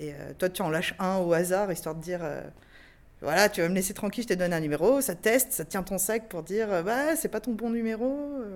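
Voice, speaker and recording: A woman talks at a fairly quick pace in an ordinary speaking voice, pitched in the middle of her range. Her intonation is lively, and the recording is very clean with a silent background. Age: 30s. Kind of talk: testimony.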